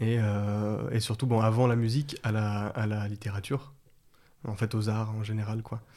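The voice has a dark, mellow tone, with monotone, flat intonation and a fairly slow pace. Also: man, fairly low pitch for a man. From France, Lyon area. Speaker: herbalist. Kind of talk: interview conversation. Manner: halting, repeats words.

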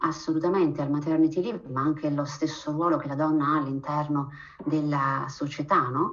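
Noticeable background noise and audible room echo surround a woman with a very deep, low pitch. She talks at a fairly quick pace with fairly even intonation. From Abruzzo, Italy. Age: 40s. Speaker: physician and researcher. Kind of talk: interview.

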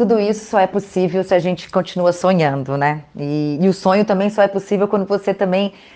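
In an unremarkable speaking voice, a woman talks at a moderate pace and medium pitch. Her pitch varies in an ordinary way against a quiet background. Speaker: podcast host. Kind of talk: interview.

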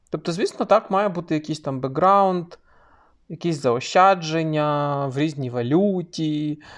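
Against a quiet background, a man with a normal speaking voice talks at a fairly slow pace, with a fairly high pitch and ordinary pitch variation. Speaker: podcast co-host. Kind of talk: casual chat.

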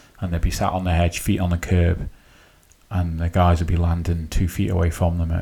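Speaking at a fairly quick pace, a man uses a very deep, low pitch and a dark, mellow tone that is somewhat breathy, with monotone, flat intonation. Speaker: podcast host. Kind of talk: casual interview chat.

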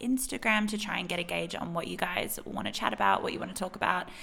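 A woman with an Australian accent, medium in pitch and bright, sharp in tone, on a very clean recording with a silent background. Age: 20s. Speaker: podcast host and consultant. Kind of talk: casual solo chat. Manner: animated.

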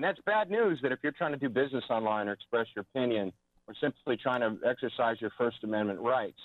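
In a normal speaking voice, a man talks at a fairly quick pace with lively intonation. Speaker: guest, media and propaganda commentator. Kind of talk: serious discussion. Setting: phone call.

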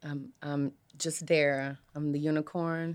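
On a very clean recording with a silent background, a woman with an ordinary speaking voice and fairly low pitch talks at a fairly slow pace. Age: 30s. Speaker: podcast guest. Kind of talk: casual chat. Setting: studio.

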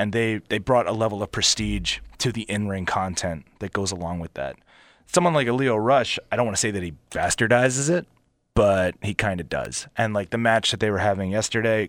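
The recording is very clean, with a silent background. A man speaks at a fairly quick pace in a fairly low pitch with lively intonation. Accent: Philadelphia. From Philadelphia area, US. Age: 30s. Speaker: pro wrestler. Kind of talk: casual interview.

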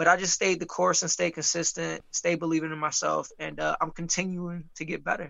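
Hardly pausing, a man speaks at a fairly quick pace. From Michigan (Muskegon), US Midwest. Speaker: professional boxer. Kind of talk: interview. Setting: video call. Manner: halting, with many fillers and repetitions.

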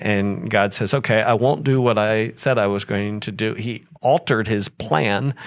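A man with an ordinary speaking voice, fairly low in pitch with ordinary pitch variation, at a moderate pace against a quiet background. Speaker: pastor. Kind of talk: church Q&A session.

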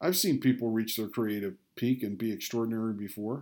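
This man speaks with an American accent. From Rochester, New York. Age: 60s. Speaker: podcaster. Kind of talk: scripted narration.

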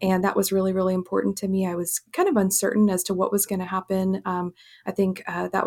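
Very fast speech from a woman at a medium pitch, with a dry, close sound and no echo. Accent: American. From Kenya and West Africa, American missionary family. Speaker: family physician. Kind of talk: interview. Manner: halting, many fillers.

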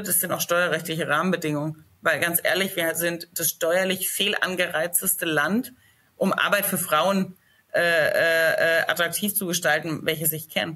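Her tone is bright and sharp, with a fairly low pitch for a woman and a slight Franconian accent. She keeps a moderate pace and fairly even intonation. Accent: slight Franconian, rolled R. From Lower Franconia, Germany (Schweinfurt area). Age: 30s. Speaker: company founder. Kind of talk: casual interview.

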